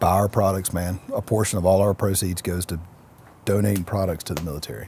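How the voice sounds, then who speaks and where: Soft-spoken and somewhat breathy, a man talks at a very fast pace in a very deep, low, dark and mellow voice with monotone, flat intonation. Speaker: entrepreneur, CEO. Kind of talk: interview answer.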